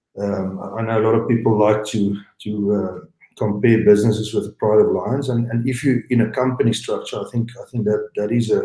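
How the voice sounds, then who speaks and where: A man with a South African accent, medium pitch and a dark, mellow, somewhat breathy tone, speaking at a fairly quick pace in a monotone, flat intonation. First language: Afrikaans. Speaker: game lodge owner, entrepreneur. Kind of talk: interview. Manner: halting, many fillers and repeats.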